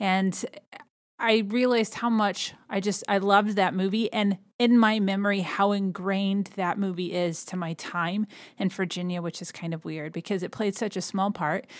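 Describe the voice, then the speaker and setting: On a very clean recording with a silent background, a woman with an American accent speaks at a moderate pace and medium pitch in a normal speaking voice. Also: fairly even intonation. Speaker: podcast host. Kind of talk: casual solo podcast narration.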